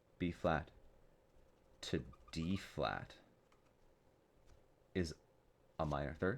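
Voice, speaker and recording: A soft-spoken man with a very deep, low voice and vocal fry, at a very slow pace with long, frequent pauses. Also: ordinary pitch variation. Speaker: music teacher. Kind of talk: soft-spoken ASMR music theory tutorial.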